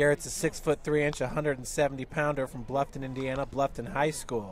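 Over light background noise, a man talks with fairly even intonation in a dry sound with no echo. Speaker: play-by-play announcer. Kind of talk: sports commentary. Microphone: headset.

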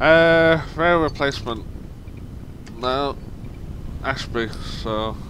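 A man at a fairly high pitch, very slow, with ordinary pitch variation and long, frequent pauses. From southern England. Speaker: gaming YouTuber, former bus driver. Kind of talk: gameplay commentary. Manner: casual, rambling with fillers.

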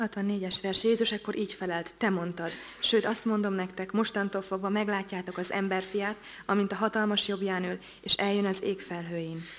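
Over light background noise, a woman talks at a fairly quick pace in a flat monotone. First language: Hungarian. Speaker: interpreter. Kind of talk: sermon interpretation; sermon interpretation and scripture reading. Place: church.

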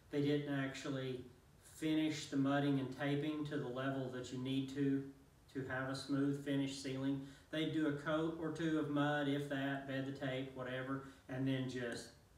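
Monotone, flat delivery at a moderate pace, with audible room echo. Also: man. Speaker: contractor reviewing a tool. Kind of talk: tutorial. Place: empty room. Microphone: camera far.

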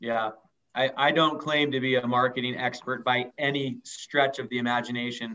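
A man speaks in a monotone, flat delivery at a medium pitch and a moderate pace. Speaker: radio co-host, financial advisor. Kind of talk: interview. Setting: remote call from home. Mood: joking, light. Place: office. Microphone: video call.

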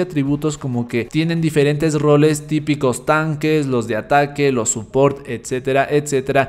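With faint music in the background, a man speaks at a moderate pace in a fairly high pitch, his tone slightly mellow and his intonation fairly even.

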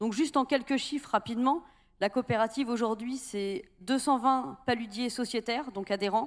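At a moderate pace, a woman speaks in a high pitch with ordinary pitch variation over a quiet background. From Brittany. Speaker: salt cooperative president. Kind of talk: panel discussion. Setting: stage with audience. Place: hall. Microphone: handheld.

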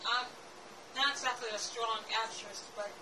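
Against noticeable background noise, a woman speaks in a monotone, flat way. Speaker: amateur actress. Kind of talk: acted monologue with a spoken intro. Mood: earnest, somewhat nervous. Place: home room.

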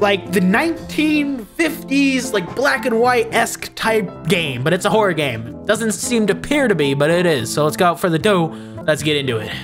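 A man talks at a moderate pace with hardly any pauses while clear music plays in the background. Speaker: gaming video creator. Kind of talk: casual let's play intro chat. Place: home room. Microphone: studio mic.

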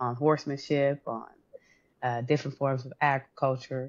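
The voice is a woman's, with a warm tone. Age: 40s. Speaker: podcast host and interviewer; podcast host, interviewer. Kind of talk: interview. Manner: warm and effusive. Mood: warm, admiring. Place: home room. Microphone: video call.

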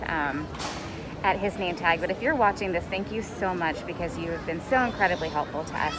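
A woman speaks with crowd noise in the background. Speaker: travel vlogger. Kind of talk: casual vlog chat. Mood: stressed but hopeful. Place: station. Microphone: phone near.

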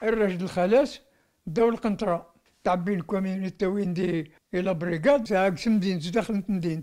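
The man's voice is high in pitch, and he speaks at a fairly slow pace. The background is quiet. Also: ordinary pitch variation. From Algeria. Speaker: massacre survivor and eyewitness; witness. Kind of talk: testimony. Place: home room. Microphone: handheld.

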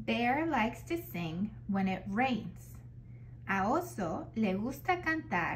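A woman at a very slow pace with very even loudness and audible room echo. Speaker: children's book reader. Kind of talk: reading aloud.

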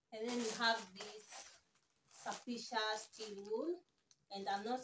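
A woman speaks at a moderate pace and medium pitch, her fairly bright tone carrying a slightly husky edge.

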